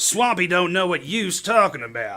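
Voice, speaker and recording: A put-on character voice, drawling at a moderate pace with very wide pitch swings. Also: man. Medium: stage play. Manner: folksy, ungrammatical drawl.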